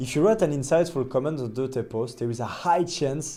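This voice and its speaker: A man with a non-native accent and a dark, mellow tone, speaking at a fairly quick pace with lively intonation. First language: not English. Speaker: agency owner and LinkedIn content creator. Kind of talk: tutorial.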